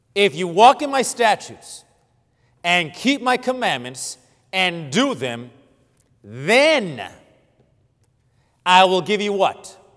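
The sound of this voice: Slow and full of long, frequent pauses, a man's high, fairly bright voice moves through big pitch swings on a very clean recording with a silent background.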